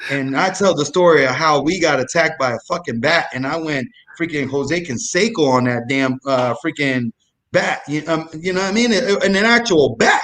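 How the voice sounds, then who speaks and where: An animated man's voice, fairly high in pitch, with lively intonation at a moderate pace. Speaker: comedic storyteller guest. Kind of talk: casual chat. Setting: live online show. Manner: loud.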